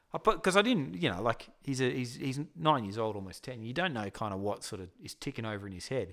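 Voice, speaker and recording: A man with an Australian accent talks fairly quickly with hardly any pauses, lively intonation and big swings in loudness. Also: medium pitch for a man, very clean recording, silent background. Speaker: podcast co-host. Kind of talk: casual chat.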